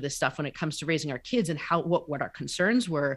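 In a very clean recording with a silent background, a woman with a normal speaking voice talks at a fairly low pitch with lively intonation. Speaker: life coach, author, podcast co-host. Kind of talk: casual interview chat.

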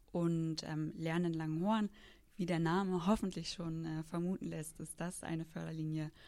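The recording is very clean, with a silent background. A woman with a dark, mellow tone speaks at a moderate pace and a fairly low pitch, with fairly even intonation. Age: 20s. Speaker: foundation project manager. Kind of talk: interview.

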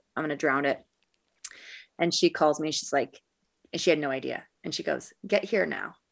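A woman's very deep, low voice with vocal fry, ordinary pitch variation, and long, frequent pauses, on a very clean recording with a silent background. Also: moderate pace. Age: 30s. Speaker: widow sharing grief journey. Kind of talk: casual chat.

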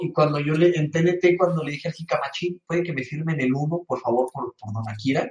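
A man speaks with a Mexican accent at a moderate pace. His voice is fairly high, with ordinary pitch variation. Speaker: gaming podcast co-host. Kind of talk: casual chat. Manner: animated.

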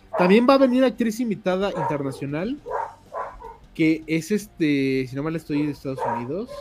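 Over noticeable background noise, a man with a high pitch speaks in an animated tone. His pitch swings very widely at a moderate pace. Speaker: podcast host. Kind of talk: casual chat.

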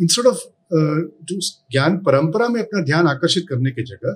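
The voice belongs to a man with a non-native accent. His pitch is high and swings very widely. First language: not Hindi (speaking Hindi). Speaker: chemistry professor. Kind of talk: interview. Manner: formal.

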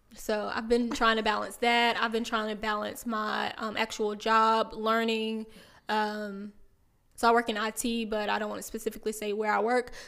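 A woman speaks with a Southern US accent, her fairly high voice bright and sharp, at a moderate pace. Her intonation stays monotone and flat, and the recording is very clean with a silent background. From South Carolina, small town near Aiken. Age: 30s. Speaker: podcast co-host. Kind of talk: casual chat.

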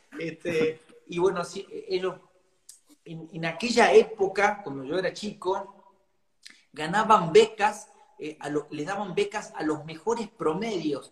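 A man with a high voice and ordinary pitch variation speaks at a fairly slow pace, with long, frequent pauses and big swings in loudness. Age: 40s. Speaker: cumbia singer. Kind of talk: interview.

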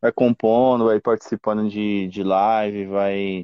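Fairly low-pitched and monotone, a man speaks with flat intonation at a fairly slow pace. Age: 30s. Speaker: punk band vocalist. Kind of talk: casual interview. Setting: remote call from home.

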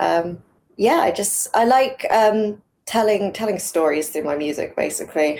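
At a moderate pace, a woman speaks with an English accent. Her intonation is lively. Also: medium pitch for a woman. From England. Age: 20s. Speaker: singer-songwriter. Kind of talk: interview.

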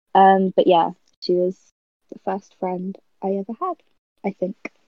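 A woman speaks at medium pitch in a southern English accent, with a dark, mellow tone. Her delivery is fairly slow and monotone, with a dry, close sound and no echo. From Milton Keynes, England. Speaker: podcast guest. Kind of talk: casual chat.

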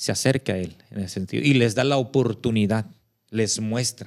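In a very clean recording with a silent background, a man speaks at a fairly slow pace and medium pitch. He has a plain, everyday voice and ordinary pitch variation. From Zihuatanejo, Guerrero, Mexico. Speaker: church member discussing theology. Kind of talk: casual chat.

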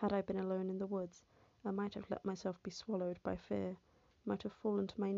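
The recording features an unforced reading voice.

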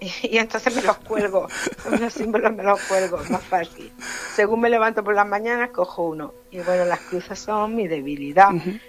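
A woman at a medium pitch and moderate pace, ordinary pitch variation, noticeable background noise. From Granada, Andalusia. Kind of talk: casual interview.

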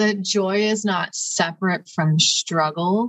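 A woman speaks with a Midwestern American accent. Her voice is somewhat breathy. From Ohio, Cleveland area. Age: 20s. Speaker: PhD candidate and community organizer. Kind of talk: interview.

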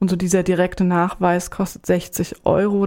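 In a very clean recording with a silent background, a woman speaks at medium pitch in a dark, mellow tone with monotone, flat intonation. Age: 40s. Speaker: HIV counselor. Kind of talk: informative interview.

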